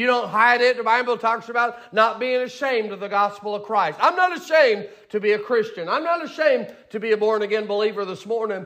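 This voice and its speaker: Loud and animated in tone, the voice moves at a fairly quick pace with ordinary pitch variation amid noticeable background noise. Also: man. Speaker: pastor. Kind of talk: sermon. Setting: church.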